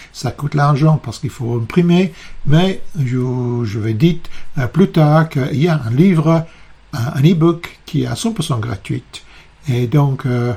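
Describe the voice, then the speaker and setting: Very slow delivery with ordinary pitch variation. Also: man. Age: 60s. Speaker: psychotherapist. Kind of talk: video presentation. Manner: halting, many hesitations.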